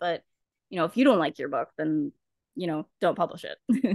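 A woman with a Canadian accent talks at a moderate pace in an unremarkable speaking voice. The sound is dry and close with no echo, and the background is quiet. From Canada. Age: 20s. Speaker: confidence coach and book editor. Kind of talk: casual interview chat.

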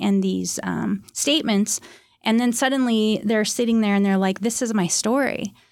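A woman's plain, everyday voice at a medium pitch, with fairly even intonation, a moderate pace, and a very clean recording over a silent background. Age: 50s. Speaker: art therapist and author. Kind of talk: interview.

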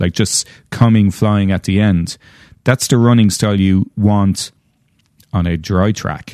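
Using an Irish accent, a man speaks in a dark, mellow tone at a fairly low pitch with fairly even intonation, over a quiet background. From Ireland. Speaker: horse farm owner. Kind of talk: casual chat.

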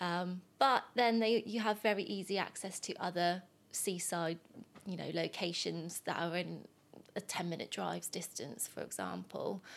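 With a southern English accent and some vocal fry, a woman talks at a moderate pace in a fairly low pitch with ordinary pitch variation. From southern England, Southampton. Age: 20s. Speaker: mortgage advisor. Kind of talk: casual chat.

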